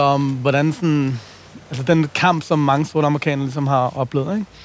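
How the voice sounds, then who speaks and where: A normal speaking voice from a man, fairly high in pitch, with fairly even intonation at a moderate pace. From Copenhagen, Nørrebro. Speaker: playwright and rapper. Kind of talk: casual chat. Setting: outdoors.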